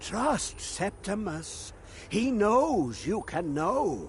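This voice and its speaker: A sing-song, put-on character voice unfolds at a very slow pace with clear background noise. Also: man, high pitch for a man. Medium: video game. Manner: cryptic, rambling, sing-song riddles.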